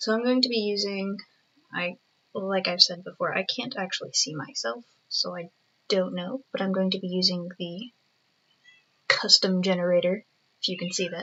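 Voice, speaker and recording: The speaker is soft-spoken, with ordinary pitch variation. The pace is moderate. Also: woman. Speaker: digital artist. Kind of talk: casual drawing commentary. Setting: at home. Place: home room. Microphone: webcam.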